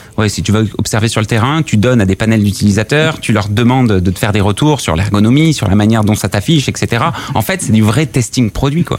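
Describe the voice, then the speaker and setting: Noticeable background noise runs under the recording. A man talks at a fairly quick pace. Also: fairly low pitch for a man, ordinary pitch variation, very even loudness. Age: 30s. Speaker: startup founder. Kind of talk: casual interview. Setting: company office.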